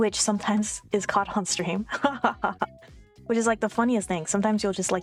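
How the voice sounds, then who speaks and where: A soft-spoken woman talks at a fairly quick pace in a medium pitch, with music playing in the background. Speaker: streamer. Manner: speaks softly, gain turned up on the mic.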